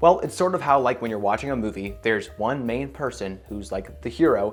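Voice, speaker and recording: A man speaks with lively intonation and vocal fry. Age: 20s. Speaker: self-improvement youtuber. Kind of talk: casual vlog monologue.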